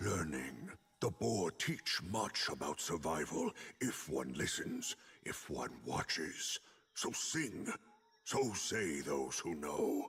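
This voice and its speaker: A man uses a put-on character voice, very deep and low, and talks at a very slow pace. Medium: video game. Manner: halting, broken speech.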